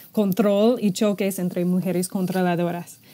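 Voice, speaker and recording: A woman with an English accent and a dark, mellow tone. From United States. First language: English (speaking Spanish). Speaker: ministry staff member; podcast co-host. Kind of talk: casual chat. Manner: halting. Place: office. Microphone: earbuds.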